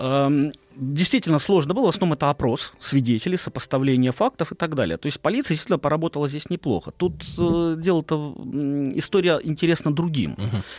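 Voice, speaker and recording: At a fairly quick pace, a man with an ordinary speaking voice and a fairly high pitch shows ordinary pitch variation, heard with a dry, close sound and no echo. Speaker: historian. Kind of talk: storytelling on radio. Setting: studio.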